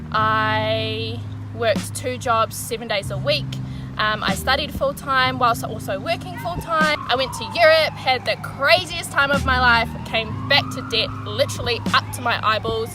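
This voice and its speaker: With music in the background, a woman speaks in a New Zealand accent at a fairly slow pace. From New Zealand, Wellington. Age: 20s. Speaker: vlogger. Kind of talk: personal vlog monologue.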